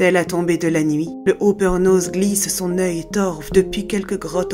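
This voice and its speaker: A woman speaks in a monotone with flat intonation. Music plays in the background. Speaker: voice actress and storyteller. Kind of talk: scary folk tale narration.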